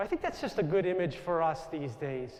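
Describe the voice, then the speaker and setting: A man with a New York accent speaks loudly at a moderate pace, his high pitch rising and falling in lively intonation. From US Northeast, Long Island, New York. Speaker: Jesuit priest. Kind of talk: inspirational talk.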